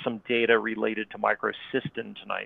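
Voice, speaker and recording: Here a man talks with an American accent. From North Florida. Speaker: water quality scientist. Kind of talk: presentation. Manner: hesitant, many fillers.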